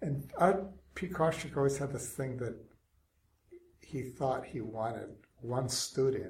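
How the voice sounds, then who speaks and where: Somewhat breathy and lively in intonation, a man at medium pitch talks at a moderate pace. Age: 60s. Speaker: technology ethicist. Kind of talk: interview.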